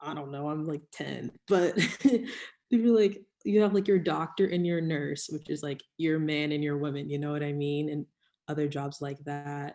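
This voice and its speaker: A woman talks with a very deep, low pitch and a dark, mellow tone. Her pace is moderate and her pitch varies in an ordinary way. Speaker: panelist in church discussion. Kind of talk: casual chat. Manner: loud.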